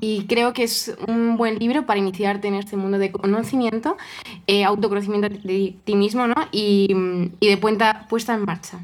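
A woman at medium pitch, moderate pace and fairly even intonation, with noticeable background noise. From Spain, Toledo. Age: 20s. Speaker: cellist and coach. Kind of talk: casual interview.

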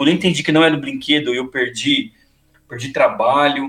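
A man's normal speaking voice at a fairly quick pace, with ordinary pitch variation. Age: 40s. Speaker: motorcycle youtuber. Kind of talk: casual chat.

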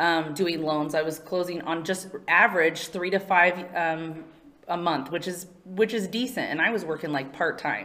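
Someone with an American accent is heard over noticeable background noise. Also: woman, fairly low pitch for a woman, ordinary pitch variation, moderate pace. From California. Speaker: mortgage marketing and HR manager. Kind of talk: interview. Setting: studio.

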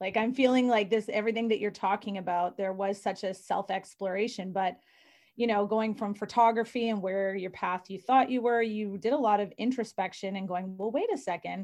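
A woman with a plain, everyday voice speaks at a medium pitch and a fairly quick pace, her intonation fairly even. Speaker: podcast co-host. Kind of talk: casual interview chat.

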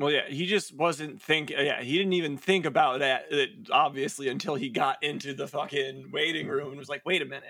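A man speaks in a normal speaking voice at a fairly high pitch and a fairly quick pace, with hardly any pauses. His intonation is fairly even, while his loudness swings widely. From US Midwest. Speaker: podcast co-host. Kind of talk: casual chat.

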